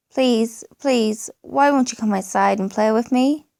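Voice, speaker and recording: Putting on a shrill character voice, a woman speaks at a moderate pace and a fairly high pitch. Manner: pleading, crying.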